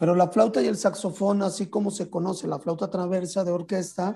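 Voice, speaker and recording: A man talks in a high voice. Music plays in the background. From Mexico, San Luis Potosí. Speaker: flutist and composer. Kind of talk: interview.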